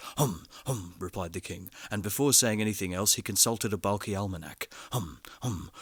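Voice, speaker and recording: In a very clean recording with a silent background, a man talks at a moderate pace in a normal speaking voice with lively intonation. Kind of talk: audiobook story reading.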